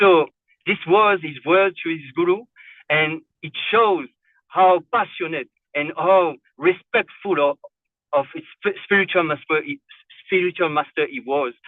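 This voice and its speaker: The speaker has a non-native accent and moves at a fairly slow pace. Long, frequent pauses break up the speech. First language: not English. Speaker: devotee. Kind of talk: narration of a religious story. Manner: halting, many fillers and repetitions.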